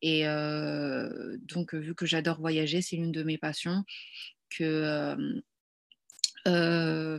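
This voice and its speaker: In a very deep, low pitch, a woman speaks at a very slow pace with fairly even intonation. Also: very clean recording, silent background. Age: 20s. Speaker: wedding decorator. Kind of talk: interview. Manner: hesitant.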